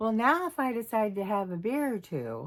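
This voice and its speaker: A woman at a moderate pace, her pitch swinging very widely. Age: 60s. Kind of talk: casual talk to camera.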